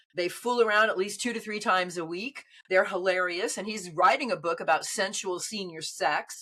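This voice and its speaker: An animated woman speaks at a moderate pace with hardly any pauses and big swings in loudness over noticeable background noise. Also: medium pitch for a woman, ordinary pitch variation. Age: 70s. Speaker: dating coach. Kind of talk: casual chat.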